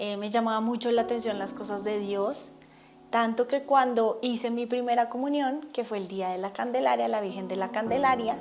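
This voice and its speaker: Here is a woman with a normal speaking voice and a fairly high pitch. She talks at a moderate pace with ordinary pitch variation. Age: 40s. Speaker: religious testimony speaker. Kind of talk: testimony.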